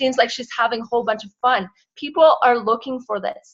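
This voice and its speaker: With ordinary pitch variation, a woman speaks at a fairly high pitch. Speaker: network marketing team leader. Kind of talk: team call recap. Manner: fast.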